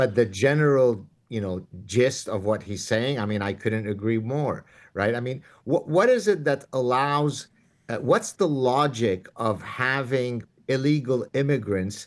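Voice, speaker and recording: A medium-pitched man with an Arabic accent, fairly slow pace and ordinary pitch variation, against a quiet background. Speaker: professor and author. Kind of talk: interview.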